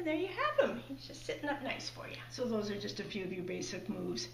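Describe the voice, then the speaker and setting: The room echo is audible. Light background noise sits underneath. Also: woman. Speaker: puppet demonstrator. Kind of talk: tutorial. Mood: warm, cheerful. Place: home room.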